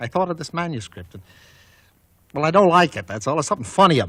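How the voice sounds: In a put-on character voice, a man talks at a fast pace, fairly high in pitch, with a fairly bright tone, a slightly husky edge and big pitch swings.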